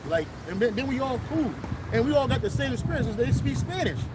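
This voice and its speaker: Loud and very fast, a man with a high pitch makes very wide pitch swings, with audible room echo and noticeable background noise. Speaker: street preacher. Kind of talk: religious street teaching. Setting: outdoors.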